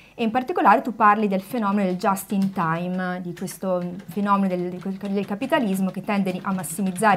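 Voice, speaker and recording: Somewhat breathy, a woman talks at a fairly quick pace with fairly even intonation. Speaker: co-host interviewer. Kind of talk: book presentation interview. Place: studio.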